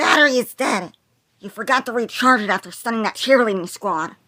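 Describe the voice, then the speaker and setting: In a put-on character voice, a female-sounding voice talks at a fairly quick pace and a fairly high pitch. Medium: fan dub. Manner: calm, steady.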